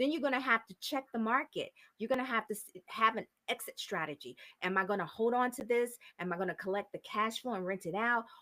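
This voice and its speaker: Very fast speech with a bright, sharp tone, big swings in loudness and ordinary pitch variation, in a dry, close sound with no echo. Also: woman, fairly high pitch for a woman. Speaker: real estate investor. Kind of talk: interview.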